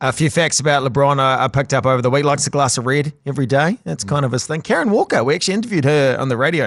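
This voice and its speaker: Over a quiet background, a man with a New Zealand accent talks at a very fast pace, his pitch fairly high and its variation ordinary. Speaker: sports podcast host. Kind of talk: casual chat.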